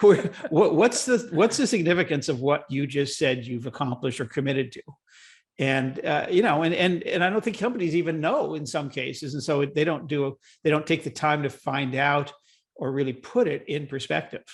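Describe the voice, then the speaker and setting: A man with an American accent speaks at a moderate pace with a fairly high pitch. His voice is somewhat breathy and his intonation lively. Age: 70s. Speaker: green business founder and writer. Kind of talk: podcast interview. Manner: halting, many repeated words.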